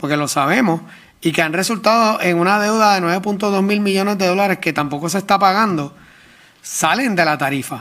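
His tone is bright and sharp, with ordinary pitch variation. The man moves at a fairly quick pace. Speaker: government official. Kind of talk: testimony at public hearing. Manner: halting.

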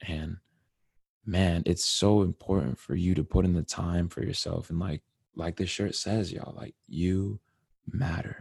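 Somewhat breathy speech comes at a fairly slow pace with an American accent. The sound is dry and close, with no echo. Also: man, very deep, low pitch for a man, ordinary pitch variation, quiet background. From Connecticut. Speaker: podcast host. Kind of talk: casual monologue. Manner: animated.

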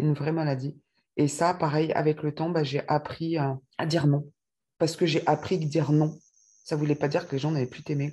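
A somewhat breathy woman's voice, dark and mellow in tone, monotone and flat at a moderate pace. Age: 40s. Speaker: testimony guest, mother. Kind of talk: testimony. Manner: halting.

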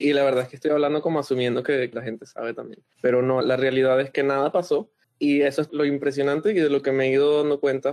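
A man speaks in an unremarkable speaking voice, fairly high in pitch, with fairly even intonation. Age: 20s. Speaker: interview guest. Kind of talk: casual interview.

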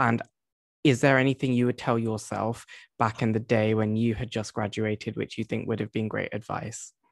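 Medium in pitch, a man's voice moves at a moderate pace. His intonation is monotone and flat. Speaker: podcast host. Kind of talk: interview conversation.

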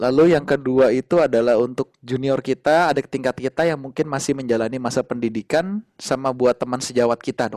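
Speaking at a fairly quick pace, a man has a normal speaking voice at medium pitch with ordinary pitch variation. The sound is dry and close, with no echo. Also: hardly any pauses. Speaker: doctor and podcast host. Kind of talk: casual interview.

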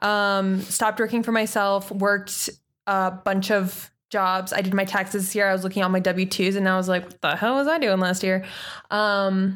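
The recording is very clean with a silent background. A woman with a plain, everyday voice speaks at a medium pitch and a moderate pace. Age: 20s. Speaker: podcast co-host. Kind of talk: casual chat.

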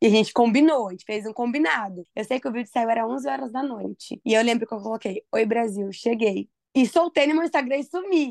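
With an ordinary speaking voice, a woman talks at a fairly quick pace with lively intonation and hardly any pauses, the sound dry and close with no echo. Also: fairly high pitch for a woman. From Brazil, Mogi Mirim (São Paulo state). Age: 20s. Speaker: podcast co-host. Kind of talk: casual chat.

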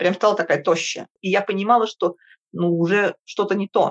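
A woman speaks at a fairly slow pace. Her voice is recorded dry and close, with no echo. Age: 50s. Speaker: podcast guest. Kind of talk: interview.

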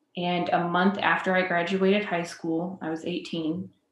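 Amid audible room echo, a woman with a fairly low pitch speaks at a very slow pace. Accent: Midwestern US. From central Illinois (Decatur). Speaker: social worker. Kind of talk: casual interview.

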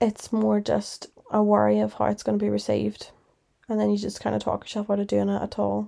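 With a Northern Irish accent, a woman talks at a fairly quick pace. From Northern Ireland. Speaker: podcast host. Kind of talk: solo podcast monologue, casual chat. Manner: casual, chatty, reflective.

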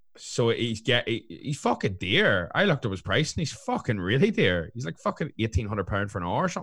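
With a Northern Irish accent, the speaker moves at a fairly quick pace with hardly any pauses and very wide pitch swings against a quiet background. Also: man, medium pitch for a man. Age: 20s. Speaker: fitness coach and podcast co-host. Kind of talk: casual chat.

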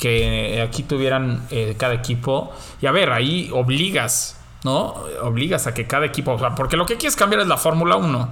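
At a moderate pace, a man talks at medium pitch with ordinary pitch variation and audible room echo. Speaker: podcast host. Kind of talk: casual chat.

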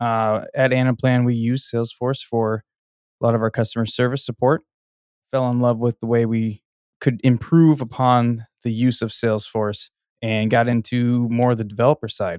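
On a very clean recording with a silent background and a dry, close sound with no echo, an ordinary speaking voice moves at a moderate pace with fairly even intonation. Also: man. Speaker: podcast producer, software consultant. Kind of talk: casual chat.

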